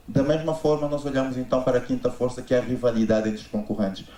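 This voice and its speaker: Fairly even intonation with audible room echo. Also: man. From Angola. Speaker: business consultant. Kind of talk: conference talk.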